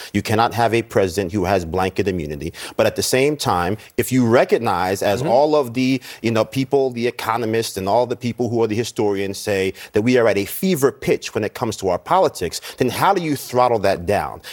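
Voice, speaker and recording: A man with a plain, everyday voice and an American accent talks at a fairly quick pace with lively intonation and hardly any pauses, in a dry, close sound with no echo. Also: medium pitch for a man, very clean recording, silent background. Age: 40s. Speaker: political commentator. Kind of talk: TV panel discussion.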